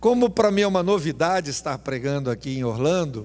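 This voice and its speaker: On a very clean recording with a silent background, a man speaks with a Brazilian accent. His pitch is fairly high, his pace moderate and his intonation lively. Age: 60s. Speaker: pastor. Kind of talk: sermon. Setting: church.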